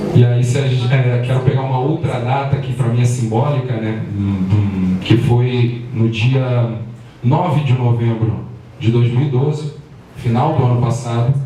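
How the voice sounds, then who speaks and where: Over noticeable background noise and audible room echo, a man with a medium pitch speaks at a fairly slow pace with fairly even intonation. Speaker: activist. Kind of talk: public talk.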